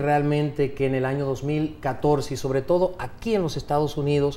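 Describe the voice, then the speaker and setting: This man has a fairly high pitch and talks at a moderate pace with ordinary pitch variation. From United States (Miami), Dominican family. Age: 40s. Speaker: politician, dictator's grandson. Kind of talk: TV interview. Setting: TV studio.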